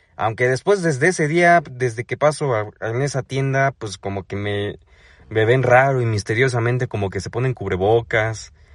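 A man with a Mexico City accent, animated tone, medium pitch, ordinary pitch variation, moderate pace, somewhat breathy, dry and close sound with no echo, quiet background. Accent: Mexico City area Mexican Spanish. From Mexico, State of Mexico. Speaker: comedian podcaster. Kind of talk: comedic monologue.

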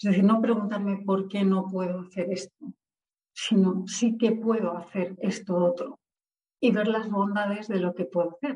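A woman with a normal speaking voice talks at medium pitch. Her pace is moderate, with ordinary pitch variation. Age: 40s. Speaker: author and civil servant. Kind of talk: interview.

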